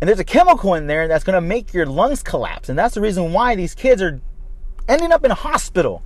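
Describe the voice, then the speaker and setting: Over noticeable background noise, a man talks very fast at a high pitch, with very wide pitch swings. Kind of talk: angry rant. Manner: indignant, fired-up, cursing.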